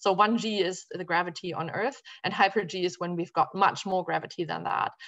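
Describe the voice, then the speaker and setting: Against a quiet background, a woman with a German accent speaks at a moderate pace, with medium pitch and ordinary pitch variation. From Germany. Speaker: physician and space physiology researcher. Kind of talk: academic talk. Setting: video call.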